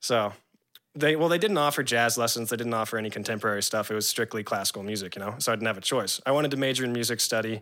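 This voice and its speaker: A man speaks at a very fast pace. His pitch is medium, with ordinary variation. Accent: American. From San Diego, California. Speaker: classical guitarist. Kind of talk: casual chat.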